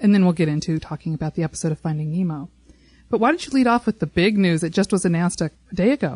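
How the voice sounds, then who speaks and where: Over a quiet background, a woman talks very fast with lively intonation, her voice somewhat breathy and the sound dry and close with no echo. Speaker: podcast host. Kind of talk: casual chat. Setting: studio.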